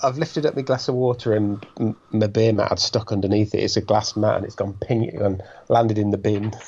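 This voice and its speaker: A man with a dark, mellow, somewhat breathy voice at a fairly low pitch speaks at a fairly quick pace with fairly even intonation. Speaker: podcast co-host. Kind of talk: casual chat.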